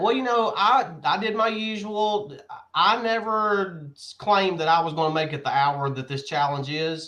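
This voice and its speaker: A man with a raised, projected voice, high in pitch, with a bright, sharp tone, lively intonation and a moderate pace. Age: 40s. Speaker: comics shop podcast co-host. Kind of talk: casual chat.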